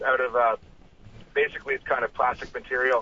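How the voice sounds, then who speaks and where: He is a man with a normal speaking voice, fairly high in pitch with fairly even intonation. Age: 40s. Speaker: fisheries biologist. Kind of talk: casual chat. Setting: phone call.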